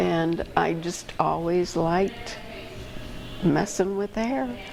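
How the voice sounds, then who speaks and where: Over noticeable background noise, a woman with an American accent and fairly low pitch talks at a very slow pace with ordinary pitch variation. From Aurora, Illinois, near Chicago. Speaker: retired nurse. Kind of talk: interview answer.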